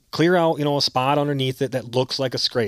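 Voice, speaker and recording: Dry and close with no echo, this very clean recording on a silent background captures a man with an American accent and ordinary pitch variation. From southern Michigan, Grass Lake. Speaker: deer hunter. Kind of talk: casual interview.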